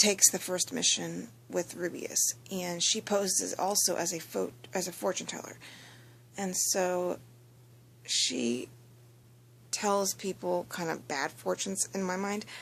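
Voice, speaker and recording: Quietly and at a fairly slow pace, a woman speaks with long, frequent pauses. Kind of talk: casual anime episode review talk. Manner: quiet, low-volume.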